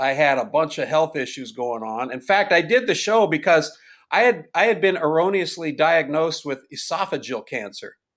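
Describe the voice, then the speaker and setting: A man with an ordinary speaking voice talks at a moderate pace with fairly high pitch and lively intonation. The recording is very clean, with a silent background. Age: 60s. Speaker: stand-up comedian. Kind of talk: casual interview chat.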